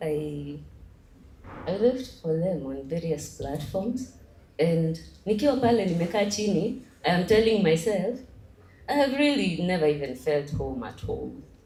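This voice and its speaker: With audible room echo, a woman talks at a fairly slow pace and a fairly low pitch, her voice making very wide pitch swings and leaving long, frequent pauses. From Kenya. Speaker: young political aspirant. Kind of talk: convention speech. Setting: stage with large audience. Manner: nervous, code-switching with Swahili.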